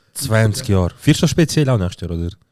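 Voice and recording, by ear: A man with a fairly low pitch talks at a fairly quick pace. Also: lively intonation, slightly mellow tone.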